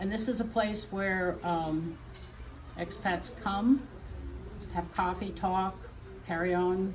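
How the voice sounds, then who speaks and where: Audible room echo around a woman's fairly low voice, fairly slow in pace and ordinary in pitch variation. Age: 70s. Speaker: quilt shop founder. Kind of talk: interview on a shop tour. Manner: halting.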